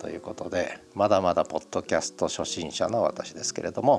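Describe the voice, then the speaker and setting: A man speaks at a moderate pace. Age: 50s. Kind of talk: audio diary monologue. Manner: casual, filler-heavy.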